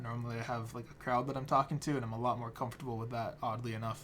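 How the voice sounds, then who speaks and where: A man talks at a medium pitch, somewhat breathy. His intonation is monotone and flat. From Standing Rock reservation, North/South Dakota. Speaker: keynote speaker, photographer and anthropologist. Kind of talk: recorded keynote speech. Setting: self-recorded video at home. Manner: casual, hesitant with fillers.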